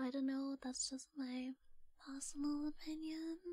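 Whispering and soft-spoken, the voice moves at a fairly slow pace against a quiet background. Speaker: voice actor of roleplay character. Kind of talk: roleplay character monologue to listener. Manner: soft, coy ASMR whisper.

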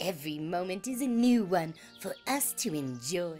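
A put-on character voice at a middle pitch, upbeat and gentle in tone, over clear background music. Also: moderate pace. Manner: upbeat, gentle.

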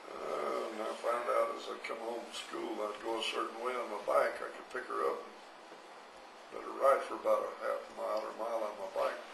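Noticeable background noise sits behind a man talking with an American accent. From Arizona. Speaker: grandfather interviewee. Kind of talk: interview answer. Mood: warm, amused reminiscing. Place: home room. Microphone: handheld.

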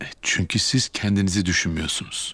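Whispering fast, a man performs a put-on character voice.

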